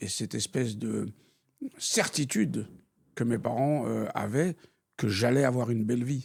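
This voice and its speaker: A man talks at a fairly slow pace and a medium pitch. His pitch variation is ordinary, and there is vocal fry. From France (born in Algeria, raised in France). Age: 60s. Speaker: retired banker and city politician, blind. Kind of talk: interview.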